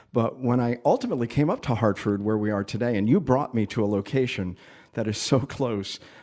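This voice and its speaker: A man with a normal speaking voice talks at a fairly quick pace with fairly even intonation. The recording is very clean, with a silent background. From Connecticut, Waterbury. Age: 60s. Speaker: podcast host, former TV programming head. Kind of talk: interview conversation.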